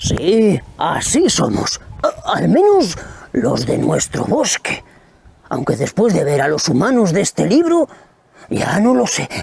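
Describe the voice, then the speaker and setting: Using a put-on character voice, a man speaks high-pitched at a fairly slow pace. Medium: read story.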